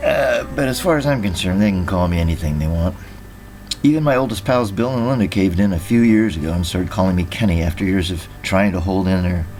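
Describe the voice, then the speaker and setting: Over music in the background and with audible room echo, a man with a very deep, low pitch talks at a very fast pace with lively intonation. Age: 60s. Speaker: podcast host reading his own memoir. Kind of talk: reading aloud from own memoir.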